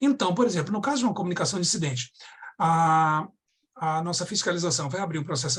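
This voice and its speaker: A man speaks high in pitch with lively intonation. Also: quiet background. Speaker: data protection authority director. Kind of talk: webinar talk. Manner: fast; halting, many restarts.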